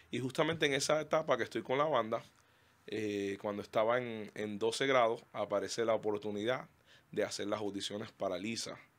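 A man talks at a moderate pace in a medium pitch. His pitch varies in an ordinary way. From Cuba, Holguín; Cuba. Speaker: pastor and trained singer; pastor. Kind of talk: casual interview. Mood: warm, animated. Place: studio. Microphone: studio mic.

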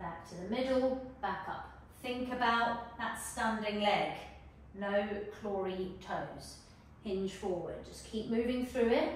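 Amid strong room echo and light background noise, a woman with a fairly high pitch speaks at a very slow pace with ordinary pitch variation. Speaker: fitness instructor. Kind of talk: guided follow-along workout with timed cues. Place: home room.

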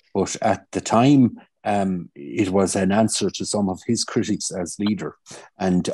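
In a Kilkenny Irish accent, the voice has a dark, mellow tone and ordinary pitch variation, recorded dry with no echo against a quiet background. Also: man. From Ireland. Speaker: politician. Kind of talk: casual chat. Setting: video call. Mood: warm, reflective tribute. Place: home room. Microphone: video call.

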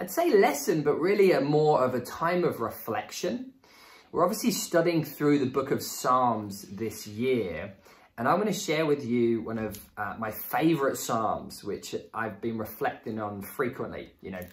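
His pitch swings very widely. The man speaks at a fairly slow pace. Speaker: church teacher. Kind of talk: sermon. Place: home room.

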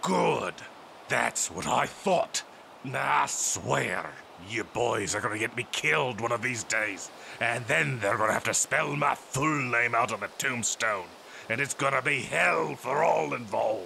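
Over clear background noise, a man at a medium pitch performs in a put-on character voice. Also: moderate pace. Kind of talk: comic overacting. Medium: read story. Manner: cocky, charming, flirtatious.

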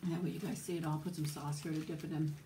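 A woman with an American accent speaks at a fairly quick pace and a very deep, low pitch, somewhat breathy and monotone, flat in intonation, with audible room echo and light background noise. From US South, Florida. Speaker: YouTuber. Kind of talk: casual chat. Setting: home. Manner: soft-spoken; quiet. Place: home room. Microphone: phone near.

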